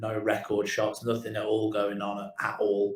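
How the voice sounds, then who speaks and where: Music plays in the background, and audible room echo surrounds the voice. A man with a British accent and a fairly low pitch speaks at a moderate pace. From English Midlands, Kidderminster. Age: 40s. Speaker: digital marketing agency owner. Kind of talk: interview storytelling. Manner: halting, repeats words.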